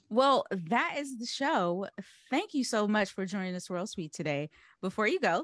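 Against a quiet background, a woman speaks at a moderate pace with lively intonation in a dry, close sound with no echo. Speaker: podcast host. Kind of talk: casual chat. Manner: animated.

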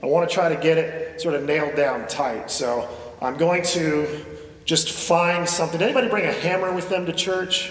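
At a moderate pace, a man with a high pitch speaks with ordinary pitch variation over noticeable background noise. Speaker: pastor. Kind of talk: sermon. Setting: church; stage with audience.

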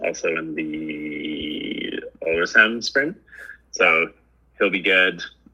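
A man with an American accent at a very slow pace, amid noticeable background noise. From US West, Truckee, California. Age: 30s. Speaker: ski racer. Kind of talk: casual chat.

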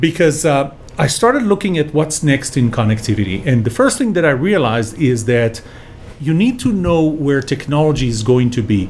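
Over noticeable background noise, a man with a fairly high pitch and lively intonation talks at a moderate pace. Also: very even loudness. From Israel. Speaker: engineer and business author. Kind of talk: interview storytelling. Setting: studio.

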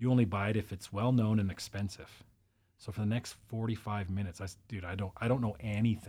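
Here is a man with a Canadian accent, fairly low in pitch and somewhat breathy. He talks at a very fast pace with fairly even intonation. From Interior British Columbia, Canada. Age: 40s. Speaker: life coach and military veteran. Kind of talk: casual chat.

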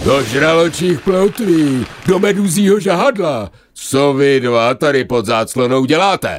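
A man bellows in a put-on character voice, pitched fairly high. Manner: roaring angrily.

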